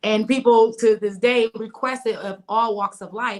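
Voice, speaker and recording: A woman's fairly high, ordinary speaking voice with an American accent and fairly even intonation. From US Midwest, Milwaukee, Wisconsin. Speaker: vegan chef. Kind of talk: interview.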